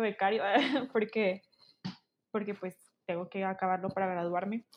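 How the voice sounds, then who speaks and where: This is a woman's voice. The rise and fall of her pitch is ordinary. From Mexico, Chihuahua. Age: 20s. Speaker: student and stage manager. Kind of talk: casual chat.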